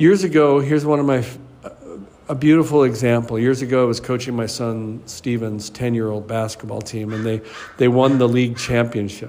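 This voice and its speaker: This man's voice sits at medium pitch with ordinary pitch variation. He speaks at a fairly quick pace, and the room echo is audible. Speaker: life coach. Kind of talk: motivational talk.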